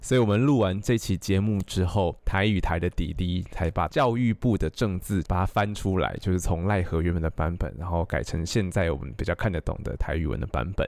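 Hardly any pauses break this fairly quick delivery in a Taiwanese accent, on a very clean recording with a silent background. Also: man, very deep, low pitch for a man, ordinary pitch variation. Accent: Taiwanese Mandarin. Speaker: literature graduate student, podcast co-host. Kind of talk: casual chat.

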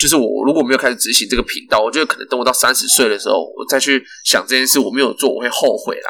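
Very fast pace from a man with hardly any pauses. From Taiwan, Kaohsiung. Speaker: podcast co-host. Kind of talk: casual chat. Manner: animated.

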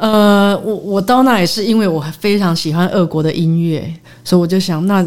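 A woman at a moderate pace with ordinary pitch variation, plus audible room echo and noticeable background noise. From Taiwan, raised largely in the US. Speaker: concert pianist. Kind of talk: interview. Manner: halting, many fillers and English words.

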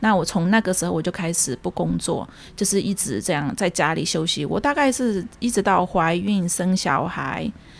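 A woman talks with lively intonation. Her voice has vocal fry. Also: medium pitch for a woman, moderate pace. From Myanmar, ethnic Chinese of Yunnan descent. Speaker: community association secretary and Burmese language teacher. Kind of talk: interview, personal life story.

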